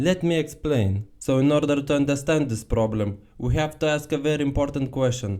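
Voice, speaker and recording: With a dark, mellow tone and a fairly high pitch, a man talks at a moderate pace with hardly any pauses, ordinary pitch variation and very even loudness. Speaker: car commentary youtuber. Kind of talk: casual talk to camera. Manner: humorous, irreverent.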